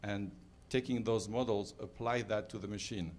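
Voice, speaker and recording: A man speaks in a plain, everyday voice, fairly low in pitch, with fairly even intonation over light background noise. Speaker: audience member. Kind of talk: audience remark. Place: hall. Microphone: handheld.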